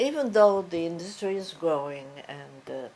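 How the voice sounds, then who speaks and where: The speech comes in a Japanese accent at a fairly slow pace. Its intonation is lively. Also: woman. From Japan, Osaka. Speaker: fashion business educator. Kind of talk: oral history interview. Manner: halting, many fillers.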